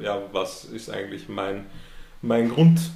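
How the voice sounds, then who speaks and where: A man's voice with ordinary pitch variation, audible room echo, and noticeable background noise. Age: 20s. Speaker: entrepreneur. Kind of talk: interview. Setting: host's office.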